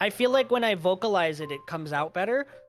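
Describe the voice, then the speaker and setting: A man talking very fast, dry and close with no echo, music playing in the background. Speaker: streamer. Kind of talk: casual chat.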